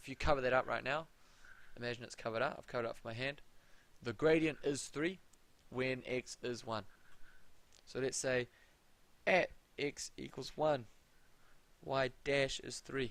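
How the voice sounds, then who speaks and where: A man with a New Zealand accent speaks at a moderate pace and medium pitch with fairly even intonation, big swings in loudness and long, frequent pauses. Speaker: maths tutor. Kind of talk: live tutorial. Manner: casual. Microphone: audio problems at start.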